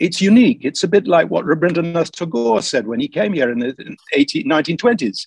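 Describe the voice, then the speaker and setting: The recording is dry, with no echo and a quiet background. A man talks at a moderate pace. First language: English (speaking Indonesian). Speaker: history professor. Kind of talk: online lecture with Q&A. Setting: video call webinar. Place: home room. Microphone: video call.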